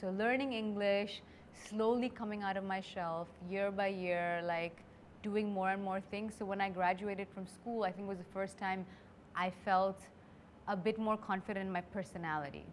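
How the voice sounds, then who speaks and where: A woman speaks with an Indian accent. Her intonation is fairly even. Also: medium pitch for a woman, moderate pace. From India (Delhi). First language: Hindi. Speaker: creator turned beauty brand founder. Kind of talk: interview conversation.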